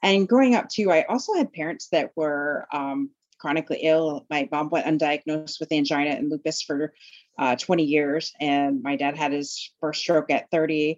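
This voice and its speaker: The woman's very deep, low pitch comes through a dry, close sound with no echo against a quiet background. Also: ordinary pitch variation, moderate pace. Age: 40s. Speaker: life coach. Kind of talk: interview.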